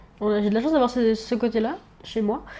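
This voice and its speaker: A woman speaks at a fairly quick pace. Her voice sits at a fairly high pitch. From Réunion, Le Chaudron district. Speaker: university student. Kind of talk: casual chat. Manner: hesitant, many fillers.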